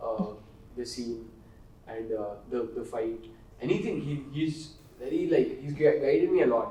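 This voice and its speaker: Long, frequent pauses break up speech delivered at a moderate pace, with audible room echo in the space. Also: man. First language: Kannada. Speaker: film actor. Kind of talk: interview. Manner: halting.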